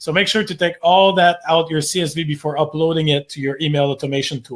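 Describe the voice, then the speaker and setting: Speaking very fast with a French Canadian accent, a man uses a fairly high pitch and fairly even intonation. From Quebec. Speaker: marketing agency owner. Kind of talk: webinar workshop presentation. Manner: many filler words (uh).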